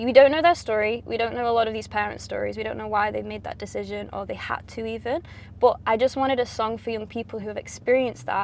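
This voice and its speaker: Speaking at a fairly quick pace, a woman talks with a Mancunian accent. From Manchester, England. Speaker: pop singer. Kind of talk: interview. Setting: in a car.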